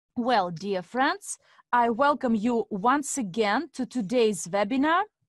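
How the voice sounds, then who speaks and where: Someone talks very slowly with lively intonation in a Russian accent. The sound is dry and close with no echo, over a quiet background. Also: woman, fairly high pitch for a woman. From Estonia (Narva), Russian-speaking family. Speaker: investment coach and webinar host. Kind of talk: webinar presentation. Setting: online webinar with interpreters.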